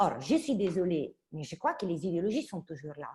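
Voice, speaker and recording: Speaking at a moderate pace in an Italian accent, a woman with a fairly low, somewhat breathy voice makes very wide pitch swings. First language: Italian (speaking French). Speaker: politician and academic. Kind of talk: online panel debate.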